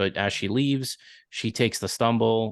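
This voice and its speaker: Against a quiet background, a man with a Long Island accent speaks at a moderate pace with fairly even intonation. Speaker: podcast co-host. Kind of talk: casual chat.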